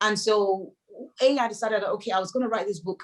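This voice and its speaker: Speaking with a Yoruba accent, a woman uses a medium pitch. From Nigeria, Lagos. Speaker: novelist. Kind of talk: interview.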